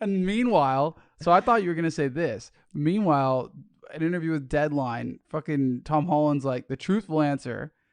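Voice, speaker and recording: Fairly high-pitched man with an American accent and lively intonation at a moderate pace, in a dry, close sound with no echo and a quiet background. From Los Angeles, US. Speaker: podcast co-host. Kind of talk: casual chat.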